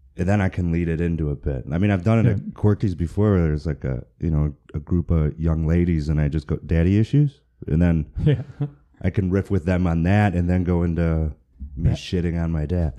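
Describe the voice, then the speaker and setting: A man's very deep, low voice with a dark, mellow tone, an American accent, ordinary pitch variation and a fairly quick pace. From Michigan. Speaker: stand-up comedian, podcast guest.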